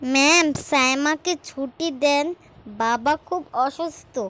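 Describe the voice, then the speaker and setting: A female-sounding voice puts on a cartoonish character with a high pitch and cackling. The delivery comes at a very slow pace. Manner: cackling, menacing.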